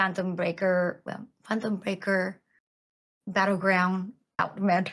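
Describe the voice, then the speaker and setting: Medium-pitched woman with a Japanese accent, monotone, flat intonation and a fairly slow pace. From Japan, Tokyo. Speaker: voice actor. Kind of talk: casual chat. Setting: podcast.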